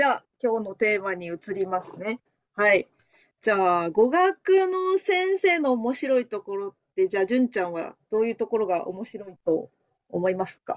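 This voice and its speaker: Speaking in a Japanese accent, a woman with a fairly high voice uses lively intonation and big swings in loudness, recorded with a dry, close sound and no echo. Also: fairly quick pace. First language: Japanese (speaking Chinese). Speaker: language teacher. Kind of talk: casual chat.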